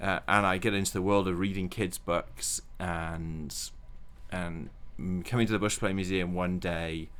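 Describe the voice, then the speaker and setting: With a Welsh accent, a man talks at a fairly slow pace in a very deep, low pitch with fairly even intonation. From Wales. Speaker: children's book author. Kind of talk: interview.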